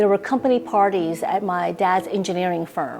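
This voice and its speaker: A woman with a slight non-native accent speaks with ordinary pitch variation. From immigrant raised in US from young age. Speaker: interviewee. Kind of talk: documentary interview.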